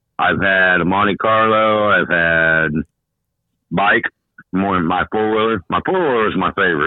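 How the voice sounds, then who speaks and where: Here a man talks at a moderate pace, fairly low in pitch, with ordinary pitch variation. His loudness stays very even, and he takes long, frequent pauses. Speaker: track tech inspector and former racer.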